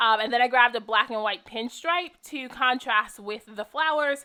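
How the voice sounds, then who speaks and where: Using a normal speaking voice, a woman talks at a fairly quick pace with ordinary pitch variation. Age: 20s. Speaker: craft video creator. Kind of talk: tutorial. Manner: casual, filler-heavy.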